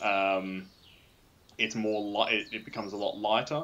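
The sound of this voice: Audible room echo surrounds a man speaking fairly slowly at a fairly low pitch, with little pitch movement and a fairly bright tone.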